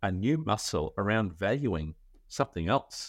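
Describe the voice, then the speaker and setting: A man's fairly low voice with an Australian accent and very wide pitch swings, in a very clean recording with a silent background. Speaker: legal tech founder, former lawyer. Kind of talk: interview.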